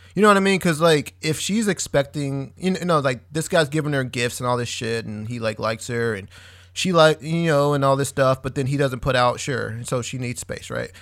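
In a very clean recording with a silent background, a man with an ordinary speaking voice and fairly high pitch talks at a fairly quick pace with hardly any pauses and ordinary pitch variation. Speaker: podcast co-host. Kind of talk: casual chat.

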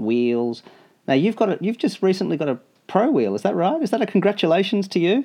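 A man with an Australian accent over a quiet background. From Australia (Melbourne). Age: 40s. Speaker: podcast host, rollerblader. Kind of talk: casual interview.

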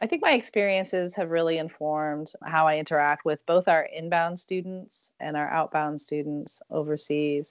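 With a normal speaking voice, a woman talks at a fairly low pitch and a moderate pace, her intonation fairly even and hardly any pauses. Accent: American. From Germany (American military family). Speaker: university international education director. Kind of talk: interview.

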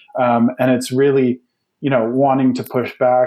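In a Western Canadian accent, a man speaks at a medium pitch with monotone, flat intonation. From Canada, British Columbia. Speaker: geography professor. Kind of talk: interview.

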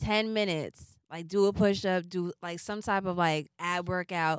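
The recording is very clean, and the background is silent. It carries an ordinary speaking voice at a fairly slow pace, with ordinary pitch variation. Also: woman, dry, close sound with no echo. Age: 20s. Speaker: podcast co-host. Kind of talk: casual chat.

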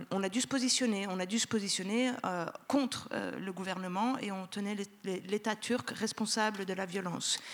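With a Turkish accent, a woman talks at a fairly slow pace in a medium pitch with ordinary pitch variation. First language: Turkish (speaking French). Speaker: sociologist. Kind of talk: panel discussion.

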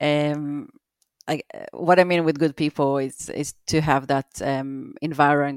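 A woman with an Israeli accent speaks in a very deep, low voice, fairly slowly and in a flat monotone. The recording is very clean and dry, close with no echo, over a silent background. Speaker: visual effects producer. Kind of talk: casual interview. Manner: halting, many fillers.

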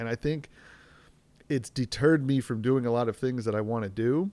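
Recorded very cleanly against a silent background, a man with an American accent talks in a medium pitch. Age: 30s. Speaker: podcast host and parent. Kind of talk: casual solo podcast monologue. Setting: home recording with outdoor noise.

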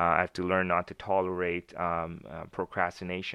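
The intonation stays flat and monotone. The pace is moderate. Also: man. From Canada, Winnipeg. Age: 20s. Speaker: entrepreneur with a clothing brand. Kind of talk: casual chat.

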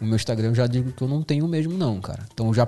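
Talking at a very fast pace, a man uses a dark, mellow tone with ordinary pitch variation. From northern Brazil. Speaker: videomaker. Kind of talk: casual chat. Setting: studio.

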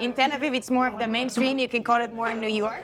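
With noticeable background noise behind her, a woman speaks fairly quickly at a fairly high pitch, her intonation fairly even. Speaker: Olympic surfer. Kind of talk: casual interview.

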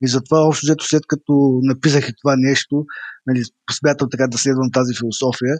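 Moving at a fairly quick pace, a man speaks at a medium pitch in a monotone, flat intonation. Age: 40s. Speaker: entrepreneur and author. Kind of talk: online interview.

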